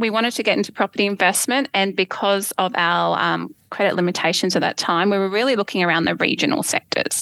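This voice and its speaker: Very fast and with hardly any pauses, a woman at medium pitch speaks in a bright, sharp tone with vocal fry and very even loudness, the sound dry and close with no echo on a very clean recording with a silent background. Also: ordinary pitch variation. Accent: Australian. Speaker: property investor guest. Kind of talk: interview, telling own story.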